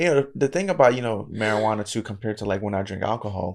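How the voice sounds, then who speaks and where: A man speaks with a fairly low pitch and ordinary pitch variation. The recording is very clean, with a silent background. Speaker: anime podcast host. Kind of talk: casual chat. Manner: loud at times in reactions.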